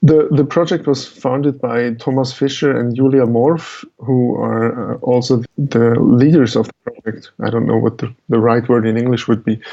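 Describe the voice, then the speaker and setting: Talking at a moderate pace with hardly any pauses, a man with a Swiss German accent holds a medium pitch and fairly even intonation. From Switzerland. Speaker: musician and media artist. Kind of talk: interview.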